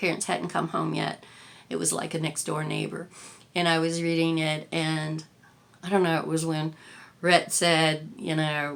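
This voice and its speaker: A woman's very deep, low voice, fairly slow and monotone, with long, frequent pauses. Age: 60s. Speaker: lifestyle vlogger. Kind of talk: casual chat. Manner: halting, many fillers.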